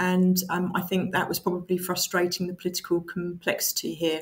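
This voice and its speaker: A woman with an Essex accent, medium pitch, at a fairly quick pace. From Essex, England. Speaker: council chief executive. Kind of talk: interview answers. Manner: hesitant with fillers.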